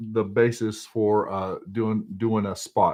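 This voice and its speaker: In a Texas accent, a man speaks at a fairly low pitch. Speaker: fly tier. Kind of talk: tutorial. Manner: halting.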